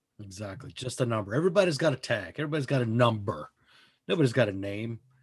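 Somewhat breathy, a man speaks at medium pitch with lively intonation. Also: long, frequent pauses, big swings in loudness. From Mexican heritage. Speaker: podcast host. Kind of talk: casual chat. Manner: animated.

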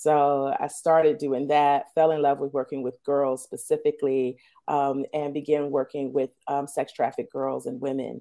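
A woman with an American accent speaks at a moderate pace in a very deep, low voice with a dark, mellow tone. Her intonation is fairly even, and the background is quiet. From Washington DC. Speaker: nonprofit executive. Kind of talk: interview.

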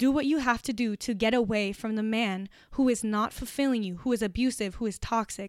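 A woman speaks fairly quickly with hardly any pauses, her pitch fairly high with ordinary variation. The recording is very clean, with a silent background. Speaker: podcast host. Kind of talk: solo podcast monologue. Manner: intense when fired up; clear, emphatic.

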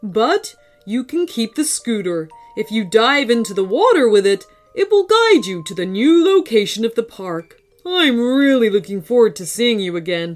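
In a put-on character voice, a female-sounding speaker talks at a moderate pace with fairly high pitch while faint music plays in the background. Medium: read story. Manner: warm, kindly.

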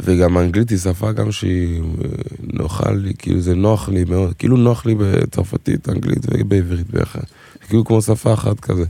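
A man with a very deep, low pitch speaks at a moderate pace with ordinary pitch variation and very even loudness. Noticeable background noise is present. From Israel, Togolese family. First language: French (speaking Hebrew). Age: 20s. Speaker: singer and dancer. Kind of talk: casual chat.

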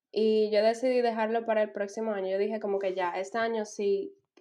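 Her fairly high pitch, fairly even intonation and fairly quick pace mark this woman's voice as an ordinary speaking voice. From Dominican Republic. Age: 20s. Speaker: master's student. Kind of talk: casual interview chat.

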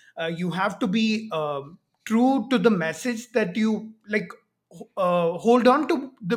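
With an Indian accent, the speaker goes at a fairly slow pace, pausing long and often. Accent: Indian English, fairly clear. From Kerala, India. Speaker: YouTuber debunking pseudoscience. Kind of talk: casual conversational interview. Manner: hesitant, filler-heavy.

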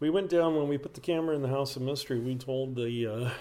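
A man with an unremarkable speaking voice talks fairly quickly at a medium pitch, his intonation fairly even. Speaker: paranormal site owner and speaker. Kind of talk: casual interview. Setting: interview at a conference venue.

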